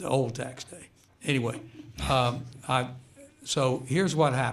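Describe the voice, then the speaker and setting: Moderate pacing, fairly even intonation and big swings in loudness, with audible room echo. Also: man, medium pitch for a man. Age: 70s. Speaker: retired high school basketball coach. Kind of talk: radio interview. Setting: radio studio.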